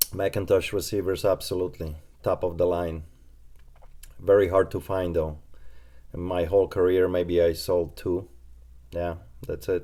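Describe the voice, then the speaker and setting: A man with a Polish accent speaks at a very deep, low pitch in a dark, mellow tone. His monotone, flat delivery moves at a moderate pace with long, frequent pauses. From Poland. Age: 20s. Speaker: reseller and shop owner. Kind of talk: live stream Q&A. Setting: live stream.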